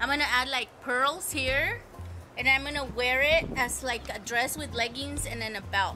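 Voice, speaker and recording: A woman talks at a moderate speed while music runs underneath. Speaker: co-host. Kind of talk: casual vlog chat. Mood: cheerful, chatty. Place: garden. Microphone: camera far.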